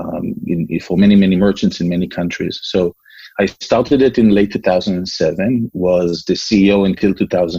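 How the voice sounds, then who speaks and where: In an Israeli accent, a man speaks at a moderate pace. His very deep, low pitch has a dark, mellow tone. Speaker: entrepreneur. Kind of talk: interview. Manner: hesitant, many fillers.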